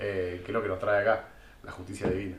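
A voice with a Buenos Aires accent, recorded with noticeable background noise and audible room echo. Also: man. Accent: Rioplatense Spanish (Buenos Aires). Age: 20s. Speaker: podcast co-host. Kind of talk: casual chat.

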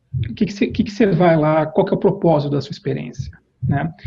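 This man speaks at a moderate pace in a fairly high voice with vocal fry. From Brazil, Campinas (São Paulo state). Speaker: corporate executive. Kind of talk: interview. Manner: halting, many fillers and repetitions.

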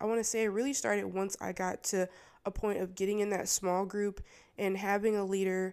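A woman with a plain, everyday voice speaks at medium pitch and a fairly quick pace, her intonation fairly even and her loudness very even, in a very clean recording with a silent background. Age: 20s. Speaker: dental assistant sharing faith story. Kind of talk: personal testimony. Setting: studio, video recorded.

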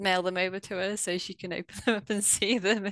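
The sound is dry and close with no echo as a woman speaks in a British accent. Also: quiet background. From UK. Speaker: former teacher, online reading tutor. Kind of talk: interview.

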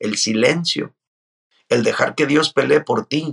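The recording is dry and close, without any echo. A man talks at a moderate speed. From Mexico, Mazatlán, Sinaloa. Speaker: pastor and author. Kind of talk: interview.

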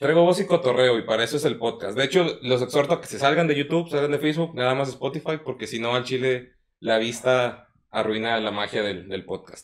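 An unremarkable speaking voice from a man, medium in pitch with ordinary pitch variation, at a fairly quick pace. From Mexico, Puebla. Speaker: podcast host. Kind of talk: casual chat.

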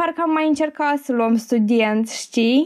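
At a fairly slow pace, a woman speaks with lively intonation and a high pitch. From Moldova, Chișinău. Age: 20s. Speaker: fashion marketing student. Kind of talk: casual interview.

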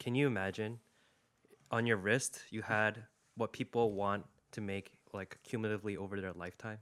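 A man speaks at a moderate pace with a fairly low pitch. His intonation stays fairly even, broken by long, frequent pauses. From Korean-American, raised in the US. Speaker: podcast co-host. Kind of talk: casual chat.

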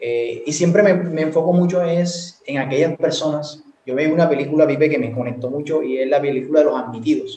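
An ordinary speaking voice, with ordinary pitch variation, goes along at a fairly quick pace. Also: man, fairly high pitch for a man. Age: 20s. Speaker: university student and entrepreneur. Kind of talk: casual chat.

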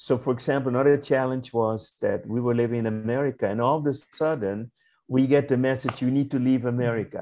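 The man's voice sits fairly high in pitch and carries a dark, mellow tone. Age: 60s. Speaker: holistic doctor and spiritual trainer. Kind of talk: interview.

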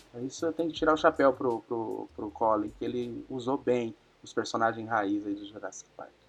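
A man has an unremarkable speaking voice, medium in pitch with ordinary pitch variation. He keeps a moderate pace, with big swings in loudness. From Paraná interior, Brazil. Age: 30s. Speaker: podcast guest, film fan. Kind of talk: casual chat.

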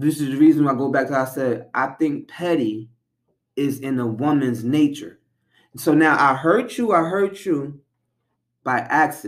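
A man speaking in an unremarkable speaking voice with a fairly high pitch. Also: ordinary pitch variation, moderate pace. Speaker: podcast co-host. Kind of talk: heated argument. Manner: defensive, argumentative.

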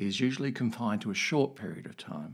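A man talks with vocal fry. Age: 60s. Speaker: podcast host sharing personal story. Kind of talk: personal monologue.

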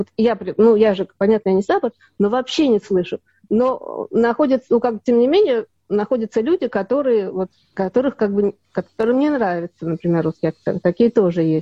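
With lively intonation and a plain, everyday voice, a woman speaks at a fairly high pitch and a moderate pace. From Soviet Union. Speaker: actress. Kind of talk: interview.

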